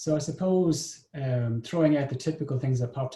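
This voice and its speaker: Speaking with an Irish accent, a man with a somewhat breathy, dark, mellow tone talks at a fairly quick pace with ordinary pitch variation. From Ireland. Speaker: business development consultant, session moderator. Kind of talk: moderated online discussion. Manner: hesitant, many filler words.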